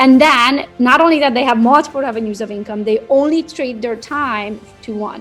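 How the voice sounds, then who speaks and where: Music plays in the background while a speaker with a non-native accent talks at a fairly quick pace with lively intonation. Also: woman. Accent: foreign. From Romania. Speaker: real estate social media coach. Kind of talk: interview answer.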